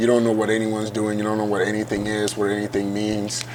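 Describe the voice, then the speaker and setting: A man's voice, pitched in the middle range, comes through with noticeable noise in the background. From Ghana, then Iowa from age eight. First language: Ghanaian language. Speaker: college football player. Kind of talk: interview. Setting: hotel venue.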